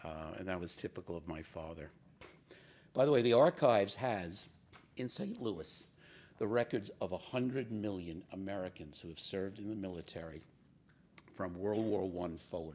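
Moderate pace with big swings in loudness, long, frequent pauses and ordinary pitch variation. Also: man, very deep, low pitch for a man. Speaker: business executive and navy veteran. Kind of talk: keynote speech. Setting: stage with audience. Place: stage. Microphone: podium.

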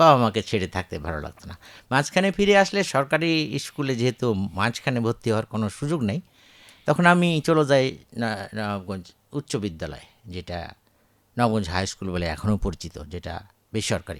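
In a very clean recording with a silent background, a man at a medium pitch makes very wide pitch swings. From Bangladesh, Chapainawabganj. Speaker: retired agricultural scientist. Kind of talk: radio interview.

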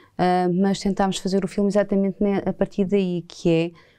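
Over a quiet background, a woman speaks at a moderate pace. Her tone is dark and mellow, and her pitch is fairly low. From Portugal. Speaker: filmmaker. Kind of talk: interview. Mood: calm, reflective. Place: studio. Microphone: lapel.

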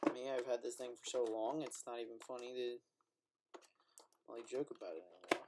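Fairly quick speech from a man, with loud background noise. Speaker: product reviewer. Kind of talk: casual vlog chat. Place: home room. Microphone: webcam.

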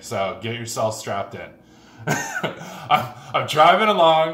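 The man's pitch swings very widely as he talks. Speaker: car vlogger. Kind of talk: casual vlog chat, storytelling. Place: garage.

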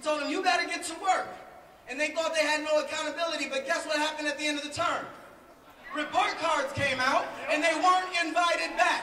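Over light background noise and audible room echo, a man with an American accent uses a raised, projected voice at an extremely high pitch, bright and sharp in tone, with fairly even intonation and a fairly quick pace. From St. Paul, Minnesota. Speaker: city council member. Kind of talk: rally speech. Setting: outdoors at rally. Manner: rhetorical, repeats lines for emphasis. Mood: passionate, combative. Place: street.

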